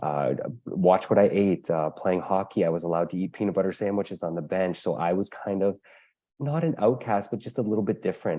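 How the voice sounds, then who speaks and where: A plain, everyday voice from a man with a Canadian accent, fairly low in pitch, at a fairly quick pace with ordinary pitch variation. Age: 30s. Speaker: patient advocate living with diabetes. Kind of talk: webinar panel talk.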